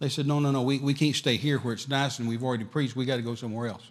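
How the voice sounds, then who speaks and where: A man with a Texan accent talks at a very fast pace in an animated tone. His pitch is medium, with ordinary variation. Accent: Texan Southern US. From West Texas. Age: 60s. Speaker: traveling evangelist. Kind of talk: sermon. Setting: church.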